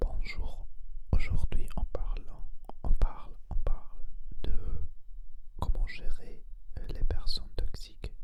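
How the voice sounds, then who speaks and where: A man whispers at a very slow pace, with long, frequent pauses. Noticeable background noise runs underneath. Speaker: ASMR creator and energy healer. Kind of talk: ASMR whispered talk to camera. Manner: whispered, slow, hesitant.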